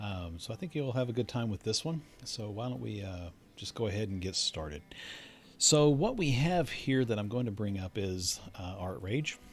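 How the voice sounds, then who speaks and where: This man's voice sits fairly low and sounds relaxed and somewhat breathy. He moves at a moderate pace with lively intonation. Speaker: digital artist. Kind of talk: painting tutorial narration. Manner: casual, relaxed.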